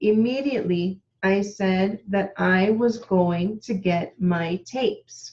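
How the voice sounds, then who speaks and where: In a somewhat breathy voice, a woman speaks at a very slow pace with ordinary pitch variation. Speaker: witness. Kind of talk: testimony.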